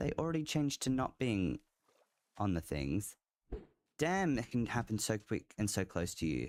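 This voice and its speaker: A man with an Australian accent at a medium pitch, very wide pitch swings, very even loudness, a moderate pace and long, frequent pauses. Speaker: video game streamer. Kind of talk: live gameplay commentary. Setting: live stream. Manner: casual, halting with fillers.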